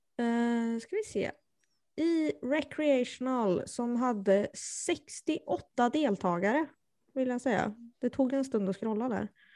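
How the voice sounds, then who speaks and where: The tone is dark and mellow. Delivery is very slow, with lively intonation. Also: woman, high pitch for a woman. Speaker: disc golf podcast co-host. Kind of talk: casual chat.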